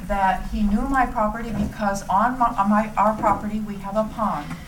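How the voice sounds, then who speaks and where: With audible room echo and noticeable background noise, a woman speaks at a moderate pace in a fairly high pitch with monotone, flat intonation. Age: 60s. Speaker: resident speaking at town meeting. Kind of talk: public comment. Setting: town board meeting. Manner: halting.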